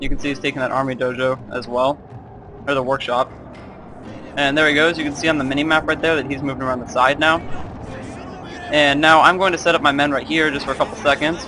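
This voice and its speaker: Over music in the background, the speech runs at a very fast pace in a monotone, flat intonation, broken by long, frequent pauses. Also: man, fairly high pitch for a man. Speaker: gaming video commentator. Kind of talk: gameplay commentary. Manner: halting.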